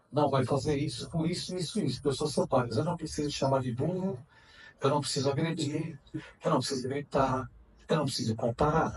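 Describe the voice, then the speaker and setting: A man talks at a fairly quick pace with a fairly high pitch and ordinary pitch variation. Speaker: spiritist speaker and psychoanalyst. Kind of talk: lecture. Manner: loud.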